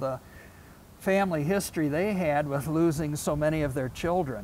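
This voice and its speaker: A man with a Midwestern American accent talks at a moderate pace, his fairly high pitch showing ordinary variation. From Toledo, Ohio. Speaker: local historian. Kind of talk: local history talk.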